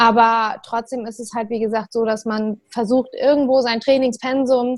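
A woman's fairly high voice, flat and monotone, in a very clean recording with a silent background. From northern Germany, Lower Saxony near Hamburg. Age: 20s. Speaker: CrossFit athlete. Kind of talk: casual chat.

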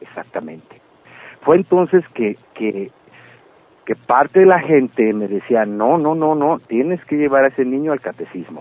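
A man speaks at a fairly slow pace. His fairly high pitch moves in very wide swings. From Mexicali, Baja California, Mexico. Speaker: punk singer and songwriter. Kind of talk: interview.

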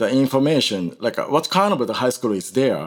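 A man speaks with a Japanese accent, his pitch swinging very widely. The recording is very clean, with a silent background. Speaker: Indian classical musician. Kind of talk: interview. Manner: halting.

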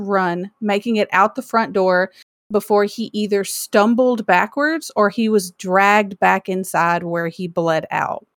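A woman's ordinary speaking voice at a medium pitch, with ordinary pitch variation, on a very clean recording with a silent background. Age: 30s. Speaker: podcast co-host. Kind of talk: reading prepared true crime story; casual chat.

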